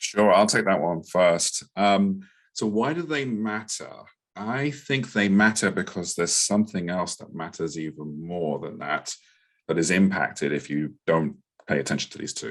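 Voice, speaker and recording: Over a quiet background, a man with a London accent speaks at a moderate pace in a fairly low pitch with lively intonation. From England, London. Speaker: product marketing director. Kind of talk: podcast panel discussion. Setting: live online podcast with audience.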